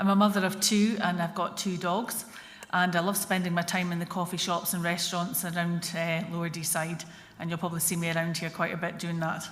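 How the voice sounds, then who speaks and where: In a Scottish accent, a woman speaks at a fairly quick pace with a fairly low pitch. Her intonation is monotone and flat, and the room echo is audible. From Scotland, Dundee. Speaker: political candidate. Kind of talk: hustings speech. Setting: church hall with audience.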